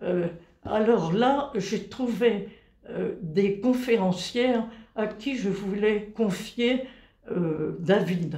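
A woman at a very slow pace, with long, frequent pauses, ordinary pitch variation and noticeable background noise. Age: 90s. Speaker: retired engineer, telling memories of her childhood. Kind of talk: interview, reminiscing.

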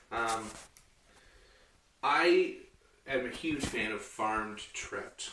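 A man speaks with a bright, sharp tone. There is audible room echo. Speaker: home cooking show host. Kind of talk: tutorial. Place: kitchen. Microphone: camera far.

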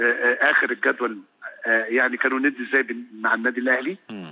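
The speaker is a man with an Egyptian accent. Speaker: football pundit. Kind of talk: interview. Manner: repetitive, hesitant.

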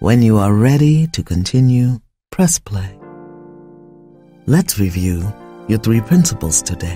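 Over background music, a woman speaks in a calm tone with very deep, low pitch. Her pace is fairly slow, with long, frequent pauses and very wide pitch swings. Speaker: spiritual coach. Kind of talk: guided spiritual affirmations. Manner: slow, calm.

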